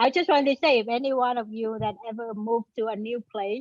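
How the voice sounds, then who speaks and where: At a moderate pace, a woman with a Vietnamese accent speaks at a fairly high pitch. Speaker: panel moderator, front-end developer. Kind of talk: panel discussion.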